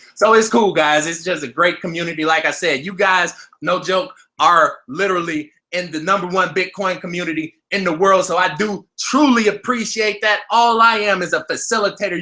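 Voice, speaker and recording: At a moderate pace, a man projects a raised voice with a high pitch and a bright, sharp tone. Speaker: crypto trading youtuber. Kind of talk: live stream market commentary. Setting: live stream at computer. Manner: animated.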